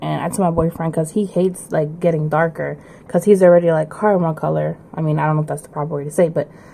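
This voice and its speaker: A woman's fairly low voice at a very fast pace, fairly even in intonation, over noticeable background noise. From Puerto Rican background, US. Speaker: listener sending a recorded message. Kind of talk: recorded personal story.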